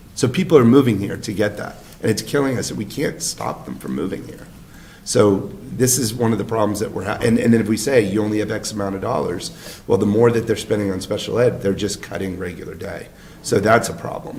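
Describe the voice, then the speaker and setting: A man's fairly low voice with ordinary pitch variation, audible room echo and noticeable background noise. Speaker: select board chair. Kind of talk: town board meeting discussion.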